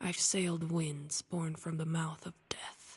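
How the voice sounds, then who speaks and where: A raspy put-on character voice at a middle pitch, monotone and flat in intonation, at a fairly slow pace. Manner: bleak, fatalistic.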